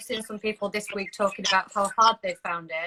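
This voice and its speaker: A woman's very fast speech at medium pitch, bright and sharp in tone, with fairly even intonation and a dry, close sound with no echo. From Yorkshire, northern England. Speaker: marketing consultant. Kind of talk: casual chat.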